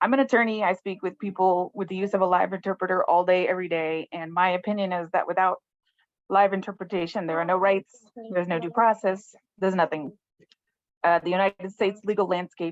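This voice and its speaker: A woman's shaky, medium-pitched voice races at a very fast pace with fairly even intonation, in a dry, close sound with no echo. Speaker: attorney, resident speaking at public comment. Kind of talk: public comment at council meeting. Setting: video call.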